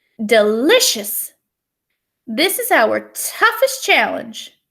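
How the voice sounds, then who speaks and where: Using a put-on character voice, a woman speaks at a high pitch and a very slow pace. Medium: read story. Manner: folksy.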